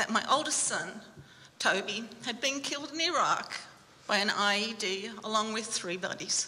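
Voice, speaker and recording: Background noise is noticeable here. A woman talks over it at a moderate pace. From Australia. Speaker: bereaved military mother, army family support worker. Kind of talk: personal testimony talk. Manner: halting, many fillers.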